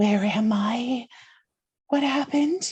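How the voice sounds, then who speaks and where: Pitched extremely high, a man performs a put-on character voice. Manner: weird and dazed.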